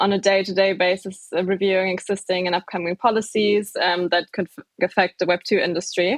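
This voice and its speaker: Speaking with a German accent, a woman keeps a medium pitch and a moderate pace. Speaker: legal operations specialist. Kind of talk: podcast interview.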